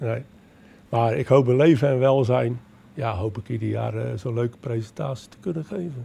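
A man's dark, mellow voice comes out somewhat breathy, with ordinary pitch variation. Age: 70s. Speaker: retired amateur nature filmmaker. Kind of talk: interview. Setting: public library event. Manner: halting. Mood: cheerful, relaxed. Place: hall. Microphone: handheld.

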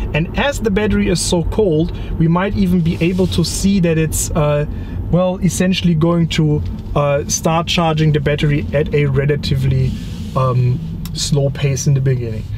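With noticeable background noise, a man's voice sounds dry with no echo. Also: moderate pace. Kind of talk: casual explanatory chat. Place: car.

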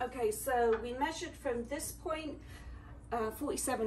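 A woman with a British accent speaks at a fairly slow pace over light background noise. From England. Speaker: DIY creator. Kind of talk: DIY tutorial talk to camera. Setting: garage. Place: garage. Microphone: phone near.

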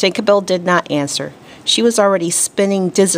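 Fairly even intonation comes through as the text is read aloud in a natural voice.

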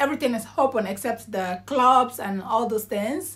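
In a raised, projected voice, a woman with a bright, sharp tone swings her pitch very widely. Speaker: vlogger. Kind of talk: casual vlog talk. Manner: loud; animated. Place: home room. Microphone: phone near.

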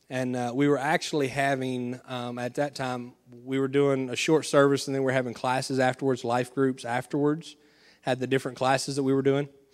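A man's medium-pitched voice with a Southern US accent at a fairly quick pace, on a very clean recording with a silent background. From Arkansas. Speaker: pastor. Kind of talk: sermon. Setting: church. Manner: animated.

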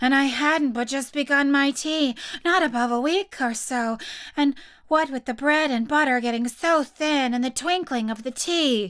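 Putting on a character voice, a woman speaks at a moderate pace. Her voice is high and shaky. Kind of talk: read-aloud storytelling. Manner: trembling.

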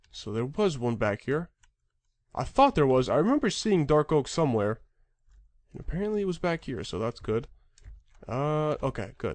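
A man with a fairly high pitch talks at a moderate pace, his pitch swinging very widely, broken by long, frequent pauses. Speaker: gaming YouTuber. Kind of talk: gameplay commentary. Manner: casual, filler-heavy.

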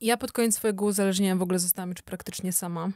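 Against a quiet background, a woman is speaking. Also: dry sound with no echo. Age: 30s. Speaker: sober-living social media creator; podcast guest. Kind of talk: casual interview. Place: studio. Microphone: studio mic.

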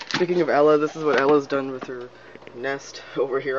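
A man talks fairly quickly with noticeable background noise behind him. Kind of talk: casual talk to camera.

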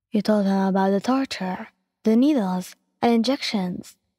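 The speaker uses a natural reading voice with ordinary pitch variation against a quiet background.

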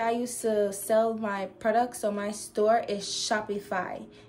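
The speaker talks at a fairly slow pace. Faint music plays in the background. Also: woman. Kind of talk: casual vlog tutorial. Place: home room.

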